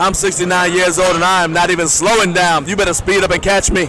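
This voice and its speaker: Noticeable background noise surrounds a man with a high pitch. He talks at a fairly quick pace. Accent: American. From Maryland, US. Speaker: powerlifting commentator. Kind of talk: live sports commentary. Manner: animated.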